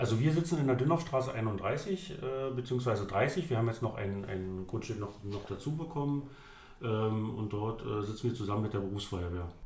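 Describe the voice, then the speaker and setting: A man speaks at a moderate pace with lively intonation, over noticeable background noise and audible room echo. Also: medium pitch for a man. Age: 30s. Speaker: volunteer fire chief. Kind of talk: interview. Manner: halting, many fillers and repetitions.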